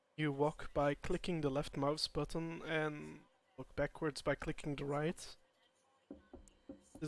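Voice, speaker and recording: Speaking at a moderate pace, a man with a fairly high voice keeps his intonation flat and monotone. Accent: non-native. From Europe. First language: not English. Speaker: gaming streamer. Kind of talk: live game commentary. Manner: halting.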